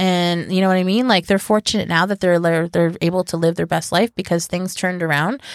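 A plain, everyday voice speaks at a fairly quick pace with hardly any pauses, fairly even intonation and very even loudness, recorded dry and close with no echo. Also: woman, fairly low pitch for a woman, very clean recording, silent background. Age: 30s. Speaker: podcast co-host. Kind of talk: casual chat.

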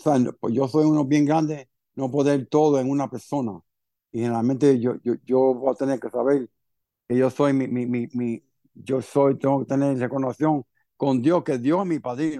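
A man speaks with fairly even intonation at a medium pitch. His tone is dark and mellow, and the sound is dry and close with no echo. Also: moderate pace. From Cuba, raised in Miami from age seven. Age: 50s. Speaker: recovering alcoholic sharing his story. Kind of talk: personal testimony in interview. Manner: halting, many repetitions and fillers.

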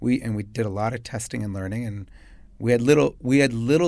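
In a Chicago accent, a man talks at a fairly quick clip with a fairly low pitch and ordinary pitch variation, on a very clean recording with a silent background. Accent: Chicago American. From US Midwest, Chicago. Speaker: business founder and CEO. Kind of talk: interview. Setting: studio.

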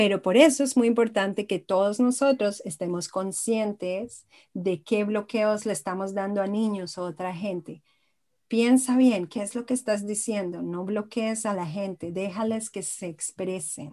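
A woman's dark, mellow tone comes through at a fairly slow pace. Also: medium pitch for a woman, ordinary pitch variation. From Israel and Colombia. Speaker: arts therapist and belly dance teacher. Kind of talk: interview conversation.

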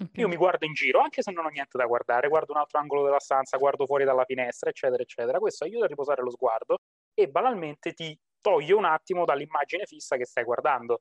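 The man speaks at a very fast pace. His voice sits fairly high in pitch, with ordinary variation. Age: 20s. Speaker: psychologist. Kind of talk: casual interview.

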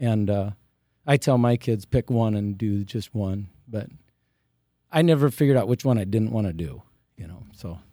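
In a very clean recording with a silent background and a dry, close sound with no echo, a man with an American accent speaks at a moderate pace and fairly low pitch, with a dark, mellow tone, ordinary pitch variation, and long, frequent pauses. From Iowa, US Midwest. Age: 50s. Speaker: retiring teacher and farmer. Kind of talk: interview.

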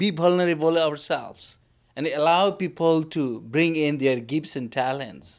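A man's fairly high voice with a Nepali accent at a fairly slow pace, with ordinary pitch variation, on a very clean recording with a silent background. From Bhutan. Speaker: lay minister. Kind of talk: interview. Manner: halting.

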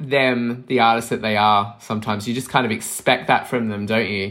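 A man with a bright, sharp tone talks at a moderate pace and medium pitch. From Australia, Melbourne. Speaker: podcast host, vinyl collector. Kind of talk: casual chat.

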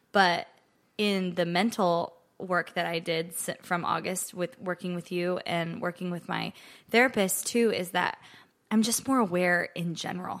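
In an unremarkable speaking voice, a woman talks at a fairly low pitch with fairly even intonation. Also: fairly slow pace. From Nebraska, US Midwest. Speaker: country singer-songwriter. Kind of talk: casual interview chat.

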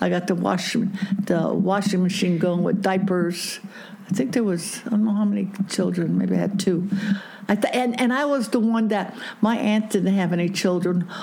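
Noticeable background noise sits behind a woman speaking at a moderate pace and medium pitch. Her intonation is fairly even and her loudness very even. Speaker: grandmother interviewed about her marriage. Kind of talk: interview, storytelling.

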